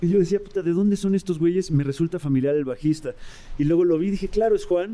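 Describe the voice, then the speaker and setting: Speaking at a very fast pace, a man has a high pitch, a dark, mellow tone and ordinary pitch variation. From Mexico. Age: 40s. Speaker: rock musician. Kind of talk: casual chat.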